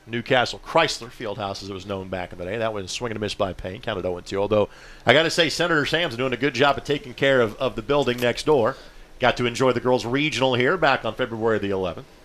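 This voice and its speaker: Upbeat in tone, a man talks at a very fast pace with a medium pitch. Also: ordinary pitch variation. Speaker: play-by-play announcer. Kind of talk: live sports commentary. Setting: press box at outdoor baseball game. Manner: fluent, steady play-by-play delivery, upbeat with occasional laughs.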